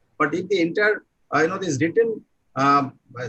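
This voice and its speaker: Speaking at a fairly quick pace with an Indian accent, a man is heard dry and close with no echo. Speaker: university vice chancellor. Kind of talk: online seminar address. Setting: online video session. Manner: halting, many fillers.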